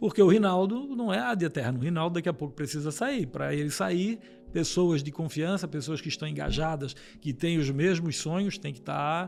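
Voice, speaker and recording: Using lively intonation, a man speaks at a moderate pace with a fairly high pitch. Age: 60s. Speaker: businessman. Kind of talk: interview. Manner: halting, with many repetitions.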